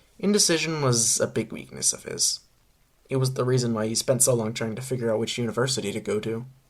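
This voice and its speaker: A man's medium-pitched voice is somewhat breathy and shows ordinary pitch variation. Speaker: fanfiction author reading own story. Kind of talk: reading aloud. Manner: halting.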